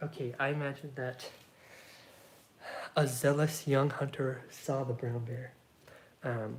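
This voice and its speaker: The speaker is soft-spoken. The delivery moves at a very slow pace. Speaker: solo tabletop game player. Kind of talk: narrated solo roleplay game.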